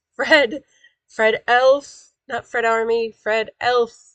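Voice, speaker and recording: With a dry, close sound and no echo, a woman speaks at a very slow pace in a fairly high pitch and fairly even intonation. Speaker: online building instructor. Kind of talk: live-streamed workshop. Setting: live stream. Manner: casual, chatty.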